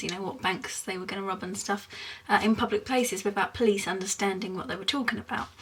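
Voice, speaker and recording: Fairly even intonation marks this voice with a British accent, heard over noticeable background noise. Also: woman. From England, Essex. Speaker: vlogger. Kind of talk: casual explainer vlog. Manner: hesitant, many fillers.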